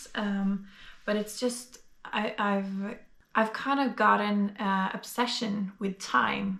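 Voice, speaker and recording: Very slowly and at medium pitch, a woman speaks in a Norwegian accent. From Norway. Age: 20s. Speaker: vlogger. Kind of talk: casual vlog monologue. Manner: hesitant, many fillers.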